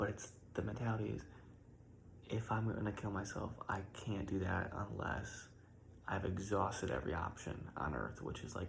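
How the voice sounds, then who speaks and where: A soft-spoken man whispers with vocal fry. Audible room echo surrounds his voice. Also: moderate pace. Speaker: content creator. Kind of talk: personal reflection monologue. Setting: at home in his room, early morning. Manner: whispering.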